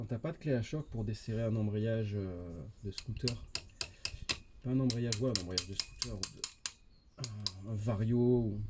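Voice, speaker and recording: A man's fairly low voice at a fairly slow pace. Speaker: motorcycle DIY youtuber. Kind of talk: tutorial. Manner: monotone; casual, hesitant with fillers.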